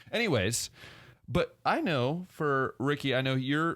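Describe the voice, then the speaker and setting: With an American accent, a man sounds animated at a fairly high pitch on a very clean recording with a silent background. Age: 20s. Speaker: podcast host. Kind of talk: casual chat.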